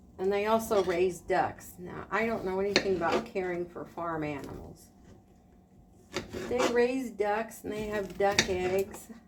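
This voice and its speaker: Here is a woman with an unremarkable speaking voice at a medium pitch. She talks at a fairly slow pace with ordinary pitch variation. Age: 60s. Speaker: retired homemaker vlogger. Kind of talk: casual vlog talk while cooking. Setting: home kitchen. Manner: relaxed, conversational with filler words.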